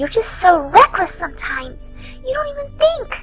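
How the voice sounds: A woman's put-on character voice, extremely high in pitch with big pitch swings, bright and sharp in tone, at a moderate pace over faint music in the background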